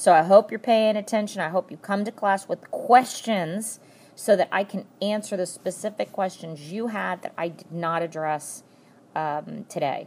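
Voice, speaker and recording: A woman with an unremarkable speaking voice, medium pitch and ordinary pitch variation, at a moderate pace, with big swings in loudness. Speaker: math teacher. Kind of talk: tutorial.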